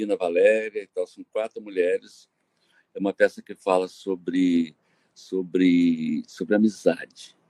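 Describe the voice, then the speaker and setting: A man talks very slowly. The audio is dry and close, with no echo at all. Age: 70s. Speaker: actor and set designer. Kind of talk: interview. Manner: halting, many repetitions.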